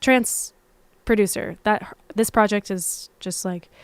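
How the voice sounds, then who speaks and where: A soft-spoken woman's voice, medium in pitch, with fairly even intonation. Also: very clean recording, silent background. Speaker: musician. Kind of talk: livestream Q&A chat.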